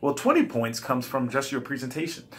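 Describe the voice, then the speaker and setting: A man speaks at a medium pitch. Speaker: college instructor. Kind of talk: recorded class instructions. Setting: self-recorded video. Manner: fast.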